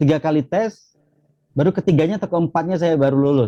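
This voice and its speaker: Dark, mellow tone from a man with a Javanese accent, dry and close with no echo. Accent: Javanese accent still noticeable. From Jambi, Indonesia (Rimbo Bujang, transmigration area). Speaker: academic, former national student achiever finalist. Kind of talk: interview conversation. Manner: many filler hesitations.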